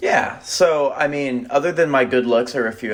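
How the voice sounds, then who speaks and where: A man in an American accent talks at a fairly quick pace, noticeable background noise behind him. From Texas. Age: 20s. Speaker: finance guest, banker. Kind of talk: casual podcast interview.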